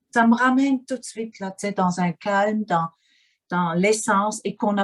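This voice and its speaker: A woman with a Swiss German accent speaks at a fairly slow pace and medium pitch, somewhat breathy, in a dry, close sound with no echo. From German-speaking Switzerland. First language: Swiss German (speaking French). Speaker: interviewee, life coach. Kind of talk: interview. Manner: halting, with many fillers and repetitions.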